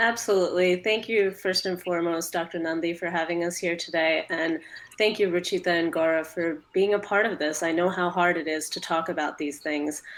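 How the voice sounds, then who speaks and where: With a normal speaking voice, a woman talks at a fairly quick pace with fairly even intonation and hardly any pauses. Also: fairly low pitch for a woman. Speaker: patient advocate, moderator. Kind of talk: panel discussion.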